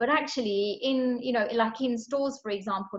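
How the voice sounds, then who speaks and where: In a London accent, a woman talks at a moderate pace with a fairly high pitch. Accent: non-posh London. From northwest London, England. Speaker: HR professional and author. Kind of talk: interview. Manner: casual, many fillers.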